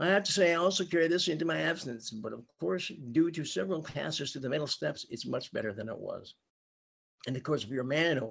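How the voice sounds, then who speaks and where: Very fast and lively in intonation, a man with a fairly high pitch speaks with vocal fry. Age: 60s. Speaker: 12-step meeting speaker. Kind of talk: testimony. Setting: video call. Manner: reading from a script.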